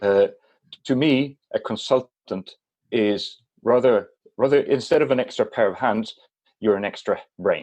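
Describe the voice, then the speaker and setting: A man with a Swedish accent at a fairly slow pace, broken by long, frequent pauses. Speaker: business consultant. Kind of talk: podcast interview. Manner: halting.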